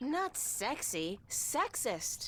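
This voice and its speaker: Clear background noise runs under a woman's put-on character voice. She speaks at a high pitch with very wide pitch swings. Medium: video game.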